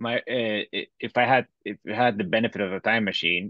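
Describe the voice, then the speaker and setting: A man with a Bolivian accent speaks at a moderate pace and a medium pitch, with ordinary pitch variation, in a dry, close sound with no echo against a quiet background. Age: 30s. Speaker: fintech entrepreneur. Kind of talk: interview.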